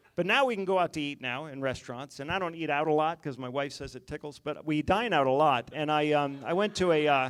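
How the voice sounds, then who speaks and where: Speech comes at a very fast pace in an American accent, with hardly any pauses. Pitch variation is ordinary. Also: man, fairly high pitch for a man. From West Virginia. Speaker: stand-up comedian. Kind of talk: stand-up. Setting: stage with audience.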